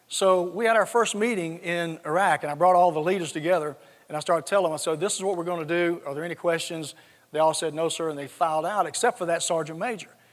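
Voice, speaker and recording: A high-pitched man talks very fast with a slight Southern US accent. His intonation is fairly even. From US South, South Georgia. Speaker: retired army general. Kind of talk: conference talk with anecdotes.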